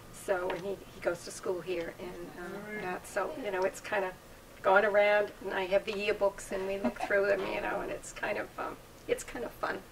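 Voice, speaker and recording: A woman talks at a moderate pace with fairly even intonation over noticeable background noise. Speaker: guest. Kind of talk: interview answer. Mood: warm, reminiscing, occasional laughs. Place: home room.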